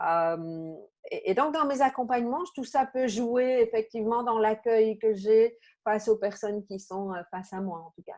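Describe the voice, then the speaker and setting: Over a quiet background, a woman speaks at a moderate pace, fairly high in pitch, with lively intonation. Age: 50s. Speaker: coach and therapist. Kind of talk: interview conversation. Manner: hesitant, many fillers.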